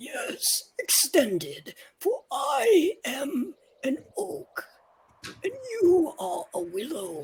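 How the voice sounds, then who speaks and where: Raspy and high-pitched, the put-on character voice moves at a very slow pace. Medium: actual play. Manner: warm, gentle.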